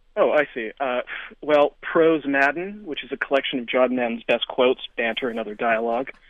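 A man with a normal speaking voice, medium pitch and ordinary pitch variation talks at a fairly quick pace with big swings in loudness. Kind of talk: casual chat about books. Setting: radio studio.

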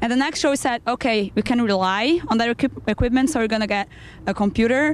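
A woman talks at a very fast pace with a Brazilian accent. Her intonation is lively. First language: Portuguese. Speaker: band member, musician.

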